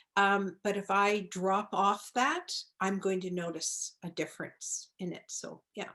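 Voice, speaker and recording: Her intonation fairly even, a woman at medium pitch talks at a very slow pace. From Nova Scotia, Canada. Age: 70s. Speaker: holistic pharmacist. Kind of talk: interview.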